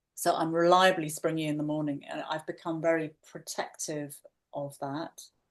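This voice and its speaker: Speaking at a moderate pace, a woman uses monotone, flat intonation at a very deep, low pitch. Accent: English. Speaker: podcast co-host. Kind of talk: casual podcast conversation.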